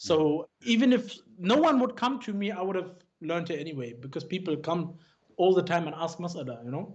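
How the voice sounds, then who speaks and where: With a British accent, a man speaks at a fairly quick pace in a high pitch with lively intonation. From Germany (Frankfurt), schooled in England. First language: German. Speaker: Islamic scholar. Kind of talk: interview conversation. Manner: halting, many false starts.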